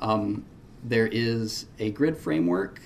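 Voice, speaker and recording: The pitch variation here is ordinary. Audible room echo surrounds the voice. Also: man. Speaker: web developer presenting at a conference. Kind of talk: conference talk. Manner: hesitant, many fillers.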